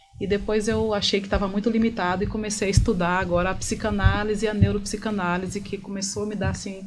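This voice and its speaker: A woman's medium-pitched, monotone, flat voice at a very fast pace with hardly any pauses, plus music in the background and audible room echo. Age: 40s. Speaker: therapist. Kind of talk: interview.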